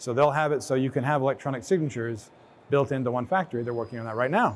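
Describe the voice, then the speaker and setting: Talking at a very fast pace, a man speaks at a medium pitch. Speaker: director of operations presenting a case study. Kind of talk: conference presentation.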